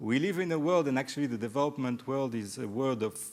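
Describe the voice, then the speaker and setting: A man at medium pitch with ordinary pitch variation, on a very clean recording with a silent background. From Mediterranean region. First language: French. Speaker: development evaluation expert, panelist. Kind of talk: panel discussion. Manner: halting.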